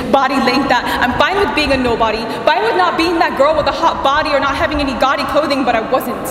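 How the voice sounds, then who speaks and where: A high-pitched woman's voice at a very fast pace, with noticeable background noise and audible room echo. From Guam. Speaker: spoken word poet. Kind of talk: spoken word performance.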